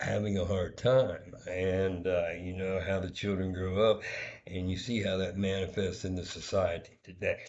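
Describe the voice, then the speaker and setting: Quiet and monotone, a man with a very deep, low pitch talks at a moderate pace with flat intonation and audible room echo. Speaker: vlogger. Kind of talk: personal vlog monologue. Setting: hotel room. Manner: kept quiet, low volume; hesitant, many fillers.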